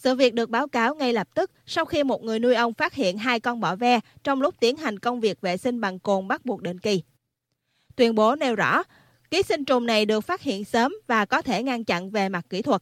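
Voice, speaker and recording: A woman with an unremarkable speaking voice talks at a moderate pace with fairly high pitch and lively intonation, in a very clean recording with a silent background and a dry, close sound with no echo. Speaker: news presenter. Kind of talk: news reading.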